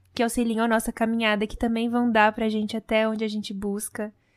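An unremarkable speaking voice at a moderate pace, recorded very cleanly against a silent background. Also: woman. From Brazil. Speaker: podcast host. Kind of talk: podcast interview.

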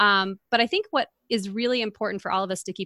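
A woman's bright, sharp voice at a fairly quick pace with ordinary pitch variation, dry and close with no echo, on a very clean recording against a silent background. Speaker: podcast host and mentor. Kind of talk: casual chat.

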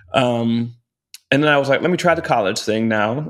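Here a man has an unremarkable speaking voice, with a medium pitch and ordinary pitch variation. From Texas (Round Rock, near Austin). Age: 20s. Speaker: Broadway actor. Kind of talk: casual interview chat.

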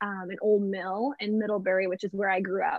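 The recording of a woman with an American accent is dry and close, with no echo. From northern Indiana, US Midwest. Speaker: fair trade shop owner, farmer's wife. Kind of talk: casual interview.

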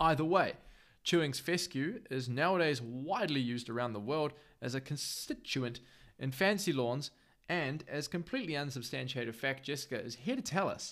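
On a very clean recording with a silent background, a man with a fairly high pitch speaks at a moderate pace with lively intonation. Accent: New Zealand. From New Zealand, Northland. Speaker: podcast host. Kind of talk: scripted narration. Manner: casual.

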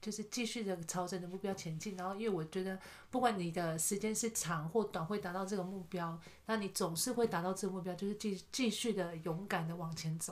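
At a fairly quick pace, a woman speaks with fairly even intonation and medium pitch. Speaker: kindergarten teacher. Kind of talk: casual chat.

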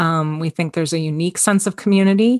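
Against a quiet background, a woman with a Canadian accent talks in a plain, everyday voice at a fairly low pitch and moderate pace, with ordinary pitch variation and a dry, close sound with no echo. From Toronto, Canada. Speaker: ministry director working with homeless people. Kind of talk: interview conversation.

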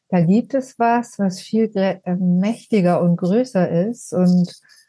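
A woman's dark, mellow, somewhat breathy voice at a medium pitch, with fairly even intonation. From southern Germany (Ulm, Swabia). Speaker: trauma therapist and end-of-life companion. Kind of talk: personal testimony in interview.

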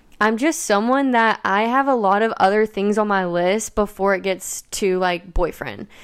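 In an American accent, a woman with an unremarkable speaking voice talks at medium pitch and a moderate pace, with ordinary pitch variation. Her loudness stays very even, there are hardly any pauses, and the recording is very clean with a silent background. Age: 20s. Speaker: podcast host. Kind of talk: solo podcast monologue.

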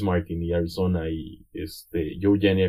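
The man's tone is dark and mellow. There is a somewhat breathy quality to it. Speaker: podcast guest, electronic music fan. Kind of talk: casual chat.

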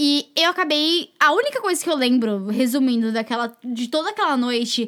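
High-pitched and full of lively intonation, a woman's voice comes through. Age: 20s. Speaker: podcast co-host, former au pair. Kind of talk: casual chat, storytelling.

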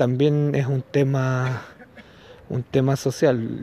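Noticeable background noise is present. Over it, a man talks at a medium pitch. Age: 40s. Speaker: podcaster. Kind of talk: casual monologue commentary. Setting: outdoors, walking in the street. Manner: halting, with many fillers.

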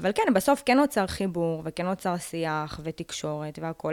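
A woman talks in an ordinary speaking voice at a medium pitch with ordinary pitch variation. The sound is dry and close, with no echo. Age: young. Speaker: lawyer. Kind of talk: podcast interview.

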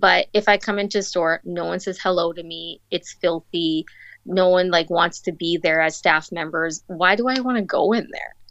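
Speaking at a moderate pace with fairly even intonation, a woman with a fairly low pitch talks in an Albertan accent. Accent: Canadian (Alberta). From Calgary, Alberta. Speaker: boutique owner. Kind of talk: casual interview.

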